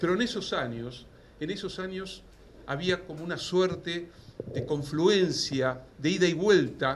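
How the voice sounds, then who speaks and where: Very slow, lively speech from a man in a Rioplatense accent, with audible room echo. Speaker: professor. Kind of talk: lecture. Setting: stage with audience.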